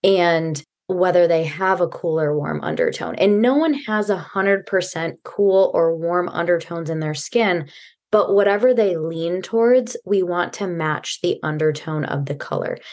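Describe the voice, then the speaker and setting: A woman with a plain, everyday voice speaks at a moderate pace, her pitch fairly low with ordinary variation. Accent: American. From US Midwest. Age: young. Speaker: personal and wardrobe stylist. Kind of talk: podcast interview.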